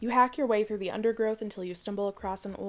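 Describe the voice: Someone reads the text aloud in a plain way.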